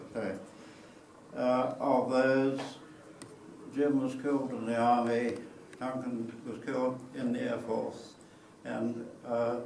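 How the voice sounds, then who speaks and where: A man with a New Zealand accent at a very slow pace, with monotone, flat intonation, audible room echo and noticeable background noise. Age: 80s+. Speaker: war veteran. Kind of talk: talk to an audience. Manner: halting.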